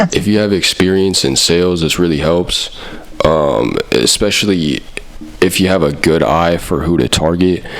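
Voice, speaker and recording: Over noticeable background noise, a man talks at a moderate pace in a very deep, low pitch with ordinary pitch variation and very even loudness. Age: 20s. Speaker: comedy youtuber. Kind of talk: comedic parody monologue. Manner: casual.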